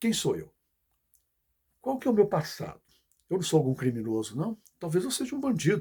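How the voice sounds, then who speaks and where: Dark and mellow in tone, a man's voice moves at a moderate pace on a very clean recording with a silent background. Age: 60s. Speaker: political commentator. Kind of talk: video message monologue. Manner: halting.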